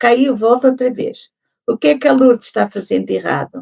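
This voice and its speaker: A high-pitched woman's voice with a European Portuguese accent, very wide pitch swings and a dry, close sound with no echo. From Portugal. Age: 70s. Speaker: podcast guest. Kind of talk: interview conversation.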